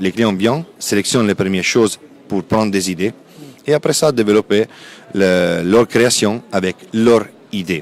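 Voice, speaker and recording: This man has an Italian accent and a fairly low pitch with ordinary pitch variation. Noticeable background noise runs behind him. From Italy. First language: Italian (speaking French). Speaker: textile company sales representative. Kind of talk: interview at a trade fair. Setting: trade fair stand.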